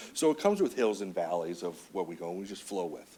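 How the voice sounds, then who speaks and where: His pitch is fairly low. The man's voice shows ordinary pitch variation. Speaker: county veterans services officer. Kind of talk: public meeting presentation. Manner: passionate.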